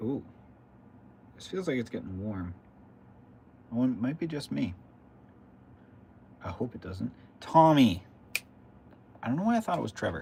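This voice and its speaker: A somewhat breathy, dark, mellow voice at a moderate pace, with very wide pitch swings and long, frequent pauses. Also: man, medium pitch for a man. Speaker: RC hobby livestreamer. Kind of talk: casual livestream chat while building. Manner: mumbling at times.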